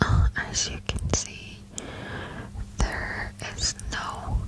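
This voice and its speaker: Very slowly, the woman whispers each word. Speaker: ASMR creator. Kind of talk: soft-spoken ASMR vlog chat. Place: home room. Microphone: studio mic.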